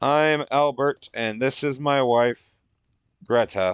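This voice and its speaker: Very slow delivery in a put-on character voice. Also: man, medium pitch for a man. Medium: read story. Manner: clear, candid, likeable.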